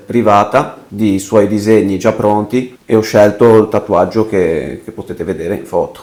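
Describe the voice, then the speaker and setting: A man with a plain, everyday voice speaks at a moderate pace, fairly low in pitch, with fairly even intonation. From Liguria, province of Genoa, Italy. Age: 30s. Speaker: tattoo client. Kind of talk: testimonial interview.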